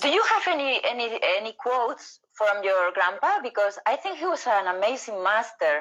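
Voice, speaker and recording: With a Spanish accent, a woman speaks at a moderate pace with hardly any pauses. Her fairly high voice makes very wide pitch swings. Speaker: interview host. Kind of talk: casual interview. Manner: halting.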